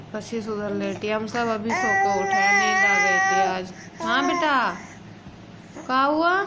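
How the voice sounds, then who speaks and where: A woman's very slow, lively-toned speech amid audible room echo and noticeable background noise. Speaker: family vlogger. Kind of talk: casual vlog.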